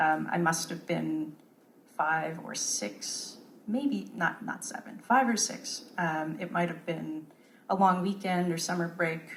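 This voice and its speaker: Over audible room echo, a woman talks very slowly in a fairly low voice with lively intonation. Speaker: composer. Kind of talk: panel talk.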